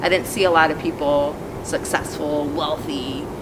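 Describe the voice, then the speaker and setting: A woman speaks with fairly even intonation over noticeable background noise, and room echo can be heard. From South Florida, US, after early childhood in Colombia. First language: Spanish. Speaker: environmental justice activist. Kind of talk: interview testimony. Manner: hesitant, many fillers.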